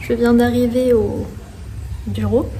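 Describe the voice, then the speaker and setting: A woman speaks in a fairly high pitch with flat, monotone intonation. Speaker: French teacher vlogger. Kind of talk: casual vlog talk to camera. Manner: slow.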